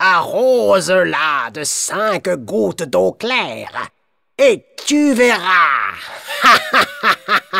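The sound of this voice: The background stays quiet. An unforced reading voice carries the text.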